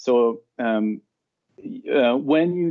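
This is a man speaking. He has a French accent. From France. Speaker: cloud solution architect. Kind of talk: interview.

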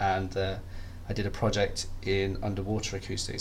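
A man speaks at a fairly quick pace and a fairly low pitch. His intonation is monotone and flat, with vocal fry.

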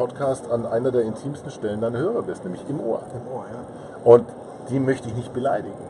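A man talks fairly fast while noticeable noise runs in the background. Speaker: podcaster and marketing consultant. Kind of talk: casual interview. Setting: recording in a parked car at a trade fair.

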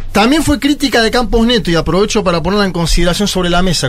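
Music runs underneath the speech. The man rattles along very fast. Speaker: political commentator. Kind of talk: casual chat.

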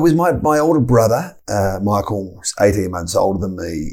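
A man with an Australian accent and very wide pitch swings. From Tasmania, Australia. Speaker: football club chief executive. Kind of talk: interview.

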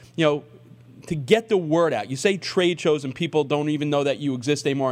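At a fairly quick pace, a man talks in an unremarkable speaking voice pitched fairly high. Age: 50s. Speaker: radio sports talk host. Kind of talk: radio interview.

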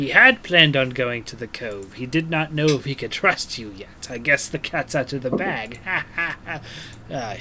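A put-on character voice cackles at a moderate pace in a low-to-middle pitch. Background noise is clearly audible. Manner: sly, cackling, conspiratorial.

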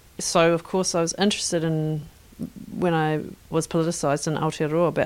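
A woman speaks in a fairly low pitch with monotone, flat intonation. The recording is very clean, with a silent background. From Northern Ireland. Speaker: artist. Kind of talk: interview. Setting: art school.

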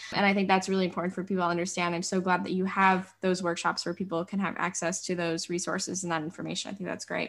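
With an American accent, a woman talks at a very fast pace and medium pitch, barely pausing, in a monotone, flat delivery. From western New York (Buffalo). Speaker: podcast host. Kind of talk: interview conversation.

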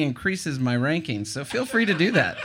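Amid noticeable background noise, a man with an American accent talks at a very fast pace with lively intonation. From eastern North Carolina. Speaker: tiny house blogger. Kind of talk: casual interview.

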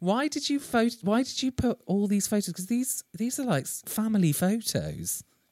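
Recorded very cleanly against a silent background, a man with an English accent speaks at a moderate pace. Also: dry, close sound with no echo. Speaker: podcast host, author and actor. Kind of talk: casual chat.

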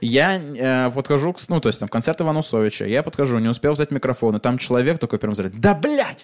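A man speaks in an animated tone at a very fast pace, with ordinary pitch variation, hardly any pauses, and noticeable background noise. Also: medium pitch for a man. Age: 30s. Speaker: comedian hosting live podcast. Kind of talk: live stand-up style podcast with audience. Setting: stage with live audience.

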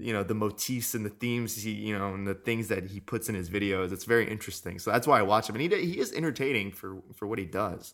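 Barely pausing, a man with an American accent speaks at a very fast pace with ordinary pitch variation in a very clean recording against a silent background. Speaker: podcast co-host. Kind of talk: casual chat; history lecture. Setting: studio mic.

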